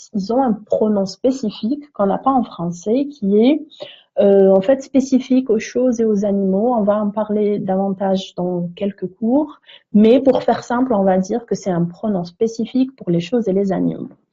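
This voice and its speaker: A woman's somewhat breathy, fairly high voice with ordinary pitch variation. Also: moderate pace. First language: neither French nor English (speaking French). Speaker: English teacher. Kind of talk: tutorial. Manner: hesitant, frequent fillers.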